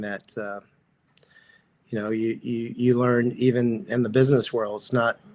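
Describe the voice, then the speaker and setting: A man with an American accent talks at a moderate pace. His medium-pitched delivery is monotone and flat. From Texas. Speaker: actor and pickleball coach. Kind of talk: interview.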